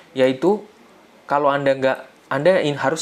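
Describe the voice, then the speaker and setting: This man's voice sits at a medium pitch, moving at a moderate tempo with ordinary pitch variation. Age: 30s. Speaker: financial literacy educator. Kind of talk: online seminar talk. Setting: live online session with chat. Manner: casual, conversational.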